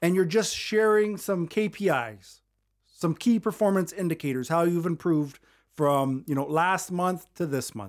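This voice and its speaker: A man talks with lively intonation. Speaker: podcast host and leadership coach. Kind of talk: solo podcast monologue about public speaking. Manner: conversational, upbeat, smiling.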